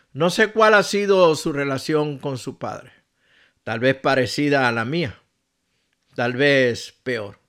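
Speaking at a very slow pace, a man uses a fairly high pitch and lively intonation. The recording is very clean, with a silent background. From Puerto Rico. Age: 60s. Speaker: pastor. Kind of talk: radio devotional message.

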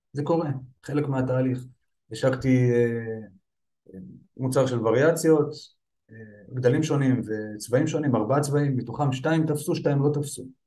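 Amid audible room echo, a man of medium pitch speaks with a dark, mellow, somewhat breathy tone, fairly even intonation, and long, frequent pauses. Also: moderate pace. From Israel, Petah Tikva. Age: 30s. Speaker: firefighter and online seller. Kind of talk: interview.

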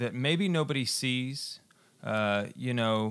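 Someone with an American accent speaks very slowly with ordinary pitch variation in a very clean recording with a silent background. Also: man. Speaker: radio host.

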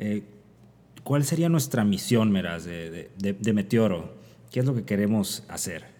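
A man with a fairly low pitch and a dark, mellow tone speaks at a fairly slow pace with lively intonation. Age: 30s. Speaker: physician, internist and nephrologist podcast host. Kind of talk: casual chat. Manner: halting with frequent fillers.

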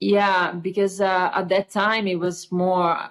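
Moderate pace, in an Italian accent. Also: woman. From Italy, Tuscany. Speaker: painter. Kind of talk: interview. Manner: halting.

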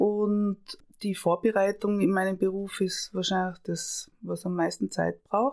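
In a very clean recording with a silent background, a woman talks at a very slow pace. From Austria, Tyrol. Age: 50s. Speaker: camerawoman and screenwriter. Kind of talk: interview.

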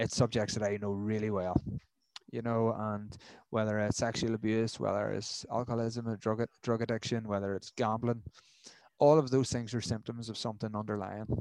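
With a Northern Irish accent, a man at a medium pitch talks at a fairly quick pace with fairly even intonation on a very clean recording with a silent background. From Northern Ireland. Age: 30s. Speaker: mental health charity worker. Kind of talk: interview.

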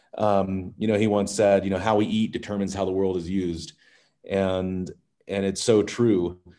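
The voice has a dark, mellow tone and an American accent, with monotone, flat intonation. It moves at a moderate pace against a quiet background. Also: man, fairly low pitch for a man. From Maryland, US. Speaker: regenerative agriculture expert. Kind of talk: interview. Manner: halting, many fillers.

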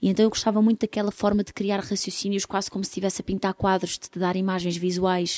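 A woman talks very fast at a medium pitch in a European Portuguese accent, her tone dark and mellow and her intonation monotone and flat. The very clean recording has a silent background and a dry, close sound with no echo. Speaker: singer-songwriter. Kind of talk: casual interview.

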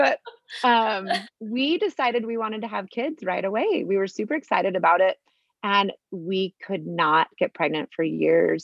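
With a Utah accent, a woman speaks at a moderate pace with lively intonation. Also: medium pitch for a woman. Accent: Utah American English. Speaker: mother sharing life story. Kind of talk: testimony.

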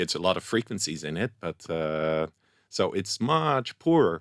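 In a Dutch accent, a man is heard on a very clean recording with a silent background and a dry, close sound with no echo. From Netherlands. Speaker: scientific researcher. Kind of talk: interview. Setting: studio.

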